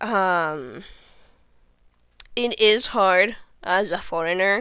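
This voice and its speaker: On a very clean recording with a silent background, a woman speaks at a medium pitch with a Spanish accent. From Venezuela. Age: 20s. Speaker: vtuber streamer. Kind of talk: casual livestream self-introduction. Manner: hesitant, many fillers.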